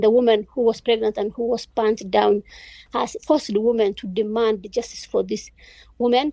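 A dark, mellow tone at a moderate pace, with a dry, close sound and no echo. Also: woman. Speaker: journalist. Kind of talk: interview.

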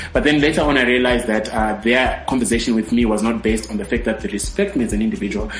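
Amid noticeable background noise, a man with a medium pitch talks at a very fast pace with ordinary pitch variation. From Zimbabwe. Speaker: radio host. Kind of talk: radio talk show interview. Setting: studio.

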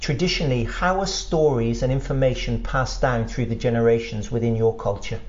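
Speaking at a fairly quick pace, a man talks with an English accent. The room echo is audible, and background noise is noticeable. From England. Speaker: podcast host, historian and writer. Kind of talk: interview. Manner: halting.

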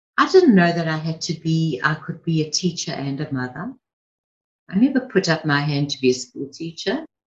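A somewhat breathy woman speaks at a moderate pace, her pitch swinging very widely. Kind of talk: pep talk. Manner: warm, encouraging, earnest; direct and reassuring, urging listeners on.

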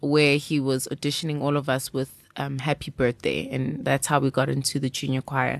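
Her very deep, low pitch carries vocal fry and monotone, flat intonation. The woman keeps a moderate pace with hardly any pauses. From South Africa. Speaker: jazz singer. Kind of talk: interview.

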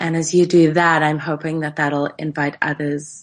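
Over a quiet background, a woman with a very deep, low voice talks at a moderate pace in a monotone, flat intonation. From South Africa, Cape Town. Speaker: tantra teacher. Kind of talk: casual interview. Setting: remote call across time zones.

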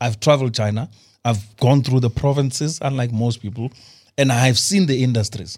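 On a very clean recording with a silent background, a man at medium pitch sounds somewhat breathy, speaking at a fairly quick pace with ordinary pitch variation. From South Africa, Limpopo. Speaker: energy expert, former investment banker. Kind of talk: studio talk show interview. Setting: studio.

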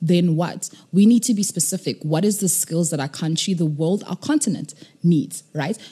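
A woman's fairly low-pitched voice has a dark, mellow tone, sounds somewhat breathy and shows ordinary pitch variation. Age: 20s. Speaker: nonprofit co-founder. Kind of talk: interview.

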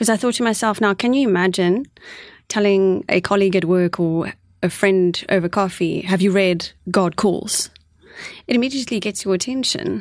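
With a South African accent, a woman speaks at a moderate pace and medium pitch, her loudness very even, her pitch varying normally, and the background quiet. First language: Afrikaans. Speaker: co-author. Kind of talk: radio interview. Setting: studio. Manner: articulate.

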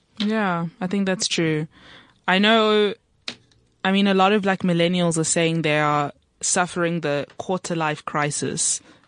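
Speaking fairly slowly, a woman with a normal speaking voice keeps a fairly low pitch and fairly even intonation. The sound is dry and close with no echo, against a quiet background. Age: 20s. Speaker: student radio show host. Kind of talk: casual chat. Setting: studio.

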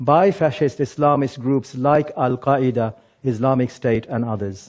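A man's dark, mellow tone at a moderate pace. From England. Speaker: former jihadist turned speaker. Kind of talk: prepared talk.

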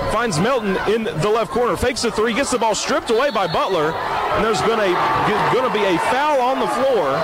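Over noticeable background noise, a man talks at a high pitch with hardly any pauses, lively intonation and very even loudness. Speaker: radio play-by-play broadcaster. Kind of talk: live sports commentary. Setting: courtside broadcast at a high school gym. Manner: fast, fluent play-by-play with rapid call of passes and shots.

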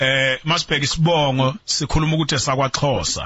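A man talks at a fairly quick pace, his pitch fairly high and his intonation fairly even. Noticeable background noise is present throughout. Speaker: radio host. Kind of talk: radio show.

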